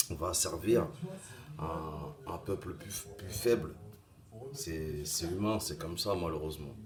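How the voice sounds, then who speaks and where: Soft-spoken, a man with a very deep, low voice uses lively intonation at a very slow pace. He leaves long, frequent pauses, and audible room echo surrounds him. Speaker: vlogger. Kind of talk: opinion monologue. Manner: halting.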